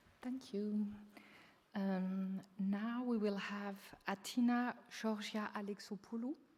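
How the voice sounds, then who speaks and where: A woman with a non-native accent talks very slowly at medium pitch, with long, frequent pauses and fairly even intonation. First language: not English. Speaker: session moderator. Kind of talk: speaker introduction.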